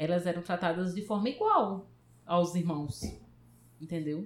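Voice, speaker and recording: Here is a woman with a normal speaking voice at a fairly low pitch. She talks at a moderate pace. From Paraíba, Brazil. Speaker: computer science professor. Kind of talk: interview.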